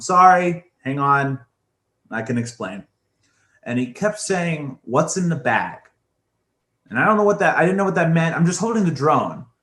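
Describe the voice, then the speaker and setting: An animated man with an American accent, fairly high in pitch, at a moderate pace with long, frequent pauses. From Pennsylvania, US. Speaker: musician and podcast host. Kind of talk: casual storytelling chat.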